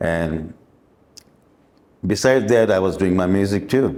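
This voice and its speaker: A man speaks with a Pakistani accent in a very deep, low pitch and a dark, mellow tone. His pace is moderate. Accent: South Asian (Pakistani) English. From Dubai, raised by Pakistani family. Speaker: musician and former limo driver. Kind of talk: interview, life story. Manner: halting, with fillers.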